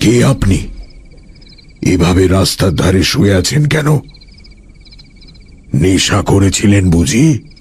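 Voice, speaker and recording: A put-on character voice comes from a man at a very deep, low pitch. His pace is very slow. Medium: audio drama. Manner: formal and polite, turning commanding.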